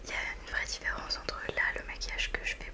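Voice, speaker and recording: Over noticeable background noise, a woman talks at a fairly quick pace in a relaxed tone. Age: 20s. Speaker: ASMR creator. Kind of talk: casual talk to camera, ASMR review. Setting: studio, close microphone. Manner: soft-spoken, relaxed, chatty.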